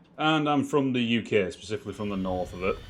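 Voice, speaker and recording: A man with a Yorkshire accent, lively intonation and a fairly quick pace. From northern England, Wakefield. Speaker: game streamer. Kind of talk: casual chat.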